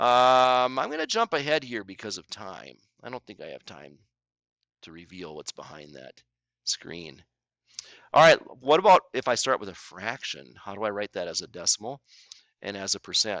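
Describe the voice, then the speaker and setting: A man speaks at a medium pitch and moderate pace, with vocal fry, very wide pitch swings and big swings in loudness. Long pauses break up his speech often. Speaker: math teacher. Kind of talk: tutorial. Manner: casual, conversational.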